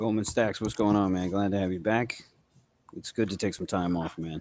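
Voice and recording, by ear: In a New England accent, a man speaks at a fairly low pitch, recorded with a dry, close sound and no echo.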